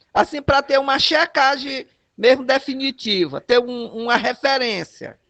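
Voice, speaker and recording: A man speaks at a fairly slow pace in a raised, projected voice with an extremely high pitch. His loudness stays very even. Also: ordinary pitch variation, dry, close sound with no echo. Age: 60s. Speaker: community health worker. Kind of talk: casual chat. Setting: video call.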